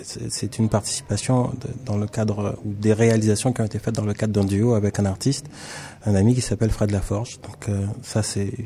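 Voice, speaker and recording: A man speaks in a fairly low pitch with monotone, flat intonation. Noticeable background noise sits behind him. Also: moderate pace. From Caribbean (French Antilles). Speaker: visual artist. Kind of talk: interview. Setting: studio.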